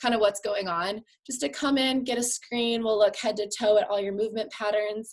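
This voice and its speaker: A fairly high-pitched woman's voice, fairly quick in pace, with ordinary pitch variation. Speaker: physical therapist. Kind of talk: live stream exercise tips. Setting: live video stream. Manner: fast; animated.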